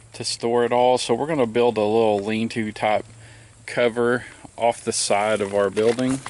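A man talks at a fairly slow pace with fairly even intonation. The sound is dry, with no echo. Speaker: homestead vlogger. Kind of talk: casual vlog chat. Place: open country. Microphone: phone near.

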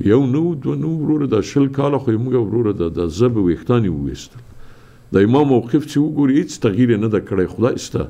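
At a very fast pace, a man with a medium pitch makes very wide pitch swings. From Afghanistan. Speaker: TV talk show host. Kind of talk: news commentary and call-in show. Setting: studio. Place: studio.

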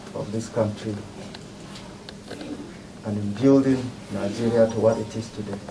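Against noticeable background noise, a man speaks at medium pitch and a moderate pace with monotone, flat intonation and long, frequent pauses. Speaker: clergyman, commission executive secretary. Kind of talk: speech at condolence visit.

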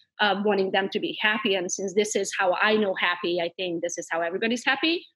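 With a Hungarian accent, a woman speaks at a medium pitch and a moderate pace. Her pitch varies in an ordinary way against a quiet background. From Transylvania, Romania (Hungarian minority). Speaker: realtor and entrepreneur. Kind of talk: interview. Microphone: video call.

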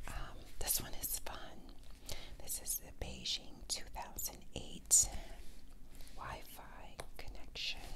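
A woman talks at a very slow pace. Noticeable background noise runs underneath. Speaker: ASMR creator. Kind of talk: casual show-and-tell talk to camera.

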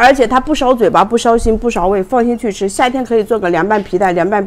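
Speaking at a fairly quick pace, a woman uses a fairly high pitch and lively intonation. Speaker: livestream food seller and mukbang host. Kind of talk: rapid-fire livestream sales pitch hawking snacks between bites, pushing price cuts. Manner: fast, pushy pitchman patter repeating prices and slogans; chummy and coaxing, constantly calling viewers babies. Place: home room. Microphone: lapel.

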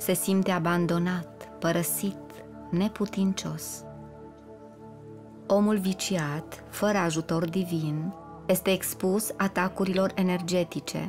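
Over background music, a woman with a fairly low pitch speaks at a very slow pace with long, frequent pauses. Her intonation is fairly even and her loudness very even. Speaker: audiobook narrator. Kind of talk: spiritual audiobook reading. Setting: studio.

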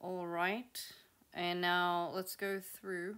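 A woman's medium-pitched voice with monotone, flat intonation. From South Africa. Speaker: YouTube creator on tooth regeneration research. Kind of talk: casual educational presentation. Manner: casual, chatty.

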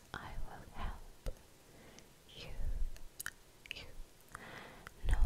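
The voice belongs to a woman. Everything she says is whispered. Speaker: ASMR artist. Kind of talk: ASMR whispered roleplay. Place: home room. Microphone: studio mic.

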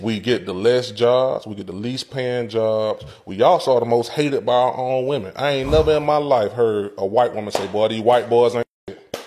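A man at a moderate pace, medium pitch and ordinary pitch variation, with a slightly mellow tone.

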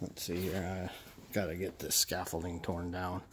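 The pace here is fairly slow. The speaker is a man. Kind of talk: casual vlog chat. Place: garage. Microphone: phone near.

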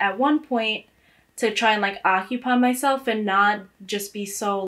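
A woman speaks with an American accent. Her intonation is fairly even. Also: quiet background. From New York City, the Bronx. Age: 20s. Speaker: college student. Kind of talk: interview testimony. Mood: reflective, somewhat sad. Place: home room.

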